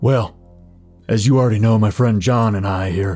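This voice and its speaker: A man uses a put-on character voice with a fairly low pitch. He keeps a moderate pace over faint music in the background. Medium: actual play. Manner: calm, confident.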